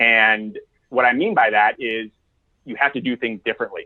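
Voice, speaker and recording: In an American accent, a man talks in a normal speaking voice at a medium pitch with ordinary pitch variation. His pace is fairly quick. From United States. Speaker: executive coach. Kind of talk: podcast interview.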